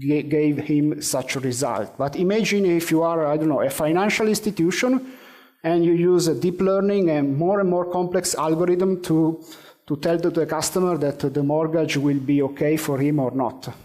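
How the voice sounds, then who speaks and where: Heard with audible room echo, a man's dark, mellow voice holds a very even loudness. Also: fairly high pitch for a man, ordinary pitch variation, moderate pace. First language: Italian. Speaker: conference speaker on AI. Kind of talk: conference presentation; audience Q&A answer. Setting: conference stage with audience. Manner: hesitant, many fillers.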